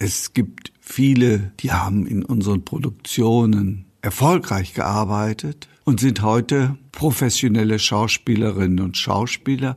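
A man speaks at a very slow pace in a fairly low, somewhat breathy voice. His pitch varies in an ordinary way. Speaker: amateur theatre director. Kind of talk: interview. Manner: formal.

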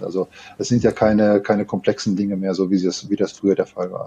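A man speaks at a very fast pace. His voice is fairly low, with a dark, mellow tone. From Ruhr area, Germany (Gelsenkirchen). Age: 50s. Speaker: tech company co-founder and sales lead. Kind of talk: interview.

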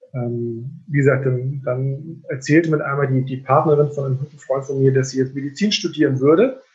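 The speech moves at a moderate pace. The voice is somewhat breathy. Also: man. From northern Germany, Rendsburg (Schleswig-Holstein). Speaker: general practitioner doctor. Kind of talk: interview conversation. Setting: video call.

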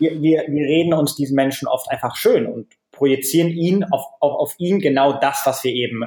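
Delivered at a moderate pace, the voice is somewhat breathy. Its tone is dark and mellow. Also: man. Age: 30s. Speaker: author and blogger. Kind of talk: interview. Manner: frequent repetitions and hesitations.

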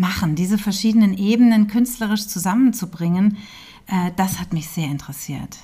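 At a moderate pace, a woman with a medium pitch and ordinary pitch variation speaks in a dark, mellow, somewhat breathy tone. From Hesse, Germany (Hünfeld near Fulda). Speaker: documentary film director. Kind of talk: interview.

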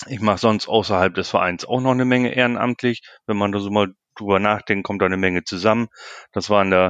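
At a fairly quick pace, a man with a fairly low pitch speaks with fairly even intonation, the sound dry and close with no echo against a quiet background. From northern Germany, Lower Saxony. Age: 40s. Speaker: sports club chairman. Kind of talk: interview. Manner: hesitant, many filler sounds.

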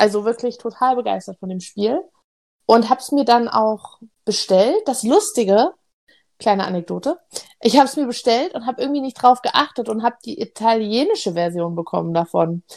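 At a moderate pace, a woman of fairly high pitch speaks in a normal speaking voice with lively intonation and big swings in loudness. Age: 30s. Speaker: board game podcast co-host. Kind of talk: casual chat.

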